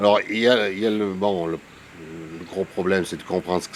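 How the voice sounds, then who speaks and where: A man's voice comes through noticeable background noise, very deep and low in pitch. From France, Lozère (Gévaudan). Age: 60s. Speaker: retired teacher and local historian. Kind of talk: interview. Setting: at his home. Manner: hesitant.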